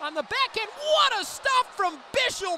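A man is heard talking with noticeable background noise in the recording. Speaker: hockey play-by-play announcer. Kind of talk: live hockey commentary, play-by-play call. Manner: fast-paced, excitable, rising with each goal; emphatic, dismayed exclamations over the opposing team's goals.

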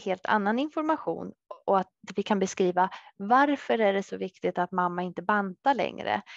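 A woman of medium pitch talks in a plain, everyday voice with lively intonation at a moderate pace. The background is quiet and the sound is dry with no echo. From Sweden, Södertälje; Sweden. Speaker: dietitian; presenter. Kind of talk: webinar talk. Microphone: headset.

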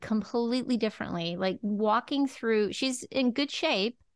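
A woman's ordinary speaking voice, fairly high, with lively intonation at a moderate pace. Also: dry, close sound with no echo. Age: 50s. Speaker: podcast host. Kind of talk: casual interview chat.

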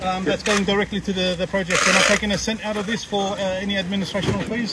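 A man's high-pitched, fairly quick speech in a dry sound with no echo, over loud background noise. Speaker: charity volunteer organiser. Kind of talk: on-site interview. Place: street. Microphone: muffled, too quiet; phone near.

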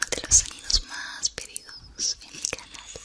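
A soft-spoken woman whispering at a fairly slow pace. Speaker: ASMR creator. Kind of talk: soft ASMR talk, whispering. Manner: soft, close ASMR whisper. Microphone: studio mic.

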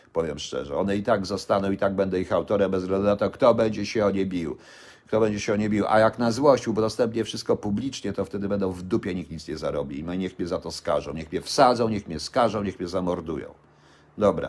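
With ordinary pitch variation and a fairly low pitch, a man talks at a very fast pace. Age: 60s. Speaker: vlogger. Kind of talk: live-stream rant. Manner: halting.

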